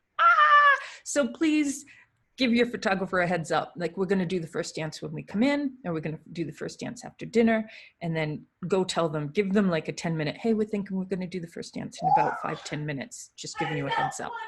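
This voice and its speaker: Bright and sharp in tone, a woman talks at a fairly quick pace in a New England accent. Her medium pitch swings very widely. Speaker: wedding photographer. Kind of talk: live Q&A monologue. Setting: live stream. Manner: animated.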